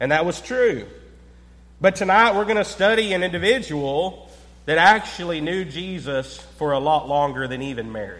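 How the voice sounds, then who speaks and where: Against noticeable background noise and audible room echo, a man talks at a high pitch with lively intonation. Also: moderate pace. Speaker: preacher. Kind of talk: sermon.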